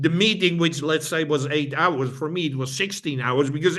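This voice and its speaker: With a Dutch accent, a man speaks at a moderate pace in a fairly high, bright, sharp voice with ordinary pitch variation. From Netherlands. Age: old. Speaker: brain fitness trainer. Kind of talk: interview conversation. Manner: halting, repeats words.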